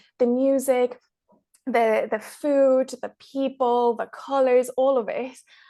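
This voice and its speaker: Speaking very slowly with an Irish accent, a woman uses a high pitch and a dark, mellow tone, her intonation monotone and flat. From Ireland, born in Mexico. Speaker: travel filmmaker. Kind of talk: podcast interview.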